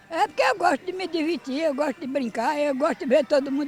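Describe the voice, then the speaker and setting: A woman with a high pitch and lively intonation at a fairly quick pace, with noticeable background noise. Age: 80s+. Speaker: elderly exercise participant. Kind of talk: street interview.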